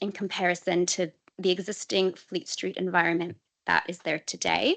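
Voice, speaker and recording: Vocal fry runs through this voice as it moves at a moderate pace. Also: woman. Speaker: council transport officer. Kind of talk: committee presentation.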